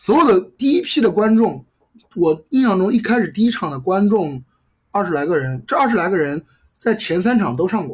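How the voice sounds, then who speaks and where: His high-pitched voice swings very widely in pitch as the man talks. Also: moderate pace. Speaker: comedy club organizer. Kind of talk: casual chat.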